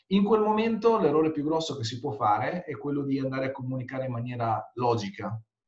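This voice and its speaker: A man talks at a very fast pace with hardly any pauses, using a fairly high pitch and very wide pitch swings. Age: 40s. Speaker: conversion rate optimization consultant. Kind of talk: interview.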